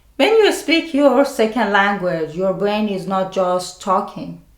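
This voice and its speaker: A woman with a non-native accent, lively intonation and a fairly slow pace, amid audible room echo. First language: not English. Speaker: mental health video creator. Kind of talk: scripted narration.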